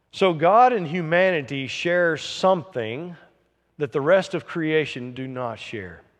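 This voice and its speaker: A plain, everyday voice from a man, fairly high in pitch, fairly slow, with lively intonation against a quiet background. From US South. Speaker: pastor. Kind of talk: sermon.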